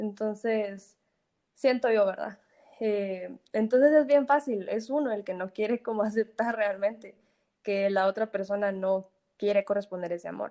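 At a fairly slow pace, a woman speaks with ordinary pitch variation. Her medium-pitched voice has a dark, mellow tone. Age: 20s. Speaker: engineering student and small food business owner. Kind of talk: casual chat.

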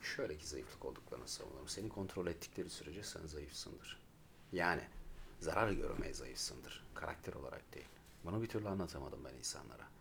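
A man talks fairly fast, and the room's echo is audible around him. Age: 30s. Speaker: podcast co-host. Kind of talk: casual chat. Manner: animated.

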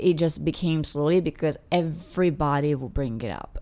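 Moderate pace from a woman with a non-native accent. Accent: foreign accent in English. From Italy. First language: Italian. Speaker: international student. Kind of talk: casual chat.

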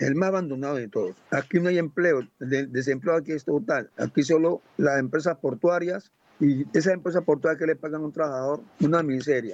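This man has a normal speaking voice, pitched fairly high with ordinary variation. He keeps a moderate pace. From Colombian Pacific coast, Buenaventura. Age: 60s. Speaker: community leader. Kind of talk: testimony.

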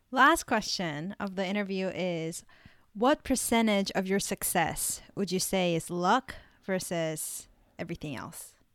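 Over a very clean recording with a silent background, a woman with an unremarkable speaking voice talks at a fairly slow pace, her medium pitch showing ordinary variation. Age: 20s. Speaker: podcast host. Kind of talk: interview.

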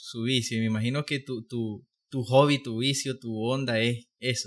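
An unremarkable speaking voice from a man, medium in pitch, fairly even in intonation, at a fairly slow pace, on a very clean recording with a silent background. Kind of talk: casual chat.

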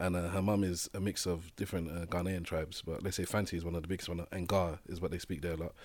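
Talking at a very fast pace with hardly any pauses, a man delivers a monotone, flat line in a London accent. His very deep, low voice comes through on a very clean recording with a silent background. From Nigerian family in England. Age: 30s. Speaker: guest. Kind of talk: casual chat.

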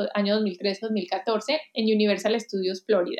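A woman's fairly high voice in a Colombian accent. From Colombia, Armenia (coffee region). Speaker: digital talent executive and author. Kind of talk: interview. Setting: remote call.

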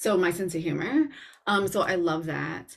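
At a moderate pace, a woman talks with a fairly low pitch and fairly even intonation in an ordinary speaking voice. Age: 40s. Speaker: personal stylist and podcast host. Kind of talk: casual chat.

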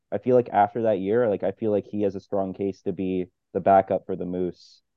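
With a normal speaking voice, a man talks at a moderate pace, fairly low in pitch and with fairly even intonation. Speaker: podcast co-host. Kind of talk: casual sports podcast chat.

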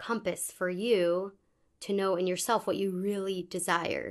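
Against a quiet background, a woman with an American accent speaks at a medium pitch in a flat, monotone way. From US, Pittsburgh. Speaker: preschool teacher. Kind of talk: casual interview discussion. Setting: recorded on location in Israel.

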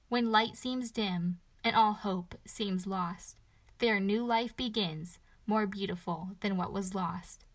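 A woman speaks at a very slow pace with a somewhat breathy, medium-pitched voice. Her intonation stays fairly even, and the recording is very clean over a silent background. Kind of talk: spoken-word poem, performed devotional verse. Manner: rhythmic, rhyming cadence with heartfelt, reverent delivery; earnest, building to a hopeful, uplifting close.

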